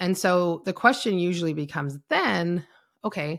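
Over a silent background in a very clean recording, a woman speaks at a fairly low pitch. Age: 30s. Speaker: podcast host, business mentor. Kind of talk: solo podcast monologue.

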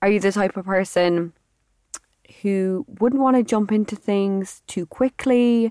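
With an Irish accent, a woman speaks fairly slowly in a dark, mellow tone at a medium pitch with ordinary pitch variation. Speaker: podcast host. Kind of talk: casual monologue. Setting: studio.

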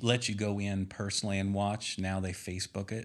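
Using a plain, everyday voice, a man with an American accent speaks at a moderate pace and a fairly low pitch with fairly even intonation, on a very clean recording with a silent background. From US Midwest, Indiana. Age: 50s. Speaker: sales and engineering manager. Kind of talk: casual interview. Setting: studio, in person.

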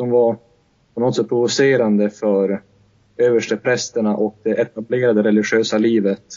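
Moderate tempo and monotone, flat intonation from a man. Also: medium pitch for a man. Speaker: podcast co-host; student. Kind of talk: casual discussion. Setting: Skype call.

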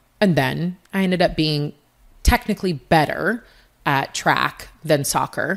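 With ordinary pitch variation, a woman talks in an animated tone. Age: 30s. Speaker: fitness coach and former athlete. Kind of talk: casual chat.

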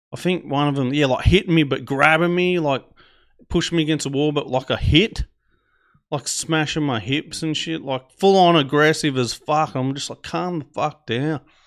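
Against a quiet background, a man with an Australian accent talks in a fairly high pitch with ordinary pitch variation. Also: moderate pace. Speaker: podcast host. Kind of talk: storytelling monologue. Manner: casual, rambling.

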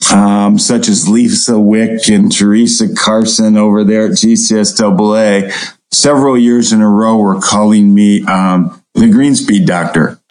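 A man with an American accent talks at a very slow pace with hardly any pauses and very even loudness. Audible room echo surrounds his voice. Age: 60s. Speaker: turfgrass researcher, professor. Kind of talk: interview.

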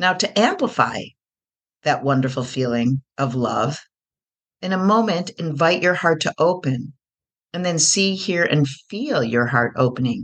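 Against a quiet background, a warm, gentle tone comes through at a fairly slow pace. Long, frequent pauses break up the speech. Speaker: podcast host and coach. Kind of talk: guided meditation. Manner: slow, soothing, hypnotic, repetitive; warm, gentle, calm.

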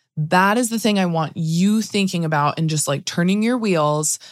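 Here a woman is speaking with lively intonation. Her pace is moderate. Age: 30s. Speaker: podcast host, attorney and photographer. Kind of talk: solo podcast talk. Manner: casual, frequent laughs.

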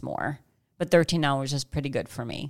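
This woman has a very deep, low pitch and an American accent. She speaks at a fairly quick pace with monotone, flat intonation. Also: very clean recording, silent background. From Chicago. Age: 40s. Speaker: fitness podcast host. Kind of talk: casual chat.

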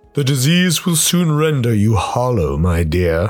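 Pitched at a medium level, a man speaks at a moderate pace. His pitch swings very widely. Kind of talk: rhyming verse. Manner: sinister, oily.

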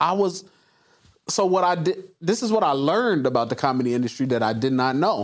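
An animated man's voice, fairly high in pitch, with very wide pitch swings and very even loudness. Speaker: podcast host. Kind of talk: casual interview chat. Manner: animated, high energy.

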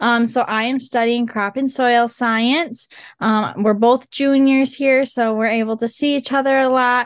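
A woman with a high pitch and an Upper Midwest accent, monotone and flat, at a fairly slow pace. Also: very even loudness, quiet background. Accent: Upper Midwest American. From western Michigan, Oceana County. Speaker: agriculture student ambassador. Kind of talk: casual interview.

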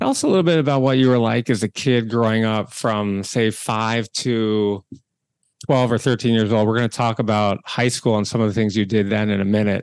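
Over a quiet background, a man talks at a fairly quick pace in an unremarkable speaking voice, medium in pitch, with fairly even intonation, very even loudness and a dry, close sound with no echo. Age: 50s. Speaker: podcast host and entrepreneur. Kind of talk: interview.

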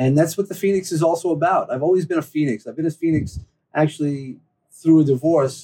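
A fairly quick man's voice with a New York accent, fairly high-pitched and dark and mellow in tone, with ordinary pitch variation. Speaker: personal growth speaker. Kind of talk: interview, casual chat.

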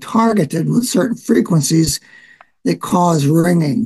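With a dark, mellow tone and a high pitch, a man speaks at a moderate pace. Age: 70s. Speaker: retiree, caller. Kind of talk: casual chat.

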